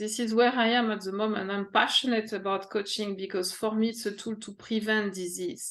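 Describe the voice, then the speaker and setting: In a French accent, a woman speaks with fairly even intonation at a fairly high pitch. The background is quiet. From France, Paris. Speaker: executive coach. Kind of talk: interview. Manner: halting.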